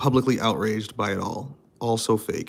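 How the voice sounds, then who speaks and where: Flat, monotone intonation with noticeable noise in the background. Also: man. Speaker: streamer reading chat. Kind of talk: casual live stream chat. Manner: switches between formal and slang speech.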